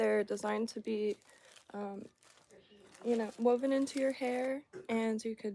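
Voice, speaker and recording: A soft-spoken woman with an American accent talks at a fairly slow pace in a fairly high pitch. Her tone is dark and mellow, and her intonation fairly even. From Florida. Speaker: fly tier streamer. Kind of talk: casual livestream tutorial.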